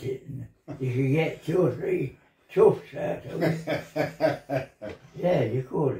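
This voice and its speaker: Very slowly, a man with a fairly high pitch speaks in a dark, mellow tone that is somewhat breathy. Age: 80s+. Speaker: former miner and military veteran. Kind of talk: interview answer. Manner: reminiscing.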